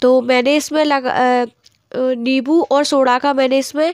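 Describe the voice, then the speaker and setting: A woman speaks in a high pitch with flat, monotone intonation, and the sound is dry and close with no echo. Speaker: vlogger. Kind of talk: casual vlog chat.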